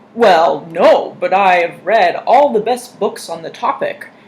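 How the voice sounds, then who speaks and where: The speaker uses a put-on character voice at a fairly high pitch and a fairly slow pace. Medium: read story. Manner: polite, meek.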